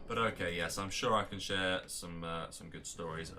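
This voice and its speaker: A man in an English accent speaks at a fairly quick pace with a bright, sharp tone, and audible room echo is heard. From England. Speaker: game tournament caster and streamer. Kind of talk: live game commentary mixed with casual chat. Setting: live stream. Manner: casual, with many fillers and repetitions.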